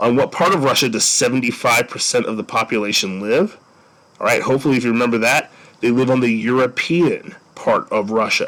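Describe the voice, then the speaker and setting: A man speaks fairly quickly at a medium pitch with ordinary variation. His loudness stays very even throughout. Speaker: teacher. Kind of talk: lecture. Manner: fast.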